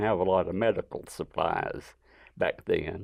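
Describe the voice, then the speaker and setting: A man with an Alabama accent speaks at a fairly slow pace. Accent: Southern US (Alabama). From US South, northwest Alabama. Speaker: artist. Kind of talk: interview, personal life story.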